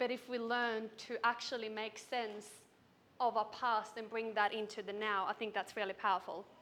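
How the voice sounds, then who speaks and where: A woman with a Swedish accent speaks at a moderate pace in a fairly high pitch, her bright, sharp tone held to a monotone, flat intonation. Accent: Swedish, noticeable. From Sweden. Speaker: business coach. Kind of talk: keynote speech. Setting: stage with audience.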